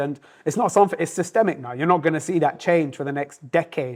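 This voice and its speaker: This man talks very fast in a high voice with ordinary pitch variation. The recording is very clean, with a silent background. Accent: London. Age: 30s. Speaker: restaurant owner. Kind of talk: casual interview chat. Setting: in his restaurant.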